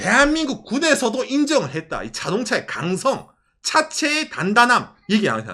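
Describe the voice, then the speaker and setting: Projecting a raised voice at an extremely high pitch, a man sounds animated, his tone bright and sharp and his loudness swinging widely. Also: lively intonation, moderate pace. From South Korea, Ulsan (Gyeongsang). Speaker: YouTuber. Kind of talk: casual chat. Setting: live stream.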